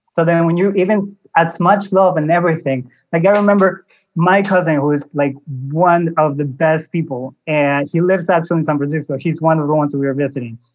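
In a normal speaking voice, a man talks at a fairly quick pace with fairly high pitch and fairly even intonation. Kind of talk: casual interview chat.

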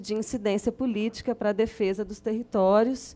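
Delivered at a moderate pace in a monotone, flat way, the speech comes through a very clean recording with a silent background. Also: woman. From Belo Horizonte, Minas Gerais, Brazil. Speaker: community activist. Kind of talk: testimony. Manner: halting.

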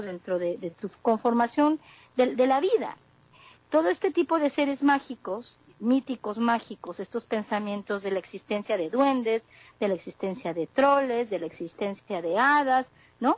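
With a Mexican accent, a woman talks at a fairly slow pace in a fairly high pitch, her intonation lively. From southeast Mexico. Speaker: communication sciences graduate, panelist. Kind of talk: panel discussion.

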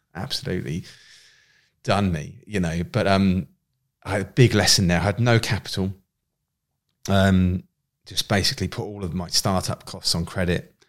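In a southern English accent, a man speaks at a moderate pace with a very deep, low pitch and ordinary pitch variation. He leaves long, frequent pauses, and the recording is very clean with a silent background. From southern England, Winchester, Hampshire. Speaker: entrepreneur. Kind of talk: casual interview chat. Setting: studio.

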